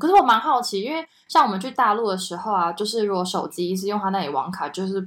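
A woman's medium-pitched voice at a very fast pace, lively in intonation, with hardly any pauses. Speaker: podcast co-host. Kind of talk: casual chat.

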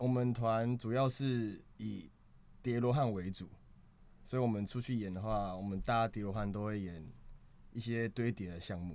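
A man at a medium pitch talks at a moderate pace with fairly even intonation and long, frequent pauses. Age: 20s. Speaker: street performer and acrobat. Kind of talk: casual chat.

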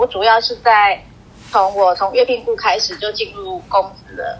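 A woman with a plain, everyday voice speaks at a moderate pace and fairly high pitch. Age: 40s. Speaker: civil servant. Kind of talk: interview.

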